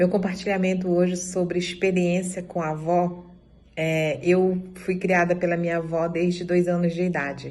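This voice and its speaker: Audible room echo around a woman's fairly low, monotone, flat voice at a moderate pace. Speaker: dance group member. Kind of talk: testimony.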